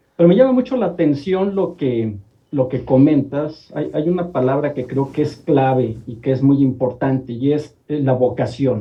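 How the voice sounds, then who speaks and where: Speaking at a moderate pace, a man has a normal speaking voice with a fairly high pitch and ordinary pitch variation. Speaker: columnist and industrial engineer. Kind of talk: TV talk show interview.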